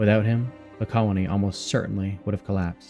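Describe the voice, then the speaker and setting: With music in the background, a man talks at a fairly quick pace in a fairly low pitch and fairly even intonation. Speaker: history narrator. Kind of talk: sleep story. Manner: calm, grounded documentary tone.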